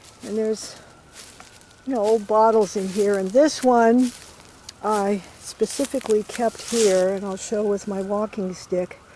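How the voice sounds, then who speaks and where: Against noticeable background noise, a woman with a fairly high voice speaks at a fairly slow pace with fairly even intonation. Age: 70s. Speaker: naturalist, pawpaw rewilding volunteer. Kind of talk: casual narration while walking outdoors. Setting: outdoors.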